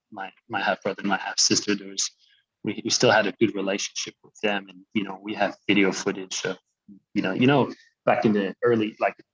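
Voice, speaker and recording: The speech is fairly quick, with monotone, flat intonation and big swings in loudness. The sound is dry and close with no echo. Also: man, fairly low pitch for a man. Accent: French Canadian. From Quebec, Canada. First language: French. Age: 30s. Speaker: social enterprise co-founder. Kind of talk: interview. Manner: halting.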